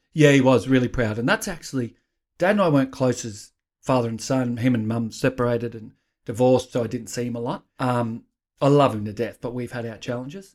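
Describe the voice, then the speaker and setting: In a very clean recording with a silent background, a man speaks fairly quickly with an Australian accent. His pitch is medium with ordinary variation, while his loudness swings widely. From Australia, Queensland. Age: 50s. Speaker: author and life coach, former police officer. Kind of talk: interview.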